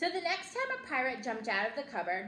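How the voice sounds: At a fairly quick pace, a bright, sharp tone rises and falls in very wide pitch swings over audible room echo. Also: woman, high pitch for a woman.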